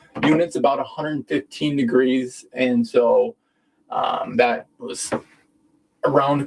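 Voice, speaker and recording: The man has a normal speaking voice at a medium pitch. His pace is fairly slow and his pitch variation ordinary. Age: 20s. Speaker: sauna company representative, live stream host. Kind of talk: live stream Q&A and product talk. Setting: inside an infrared sauna during a live stream. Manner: casual, conversational.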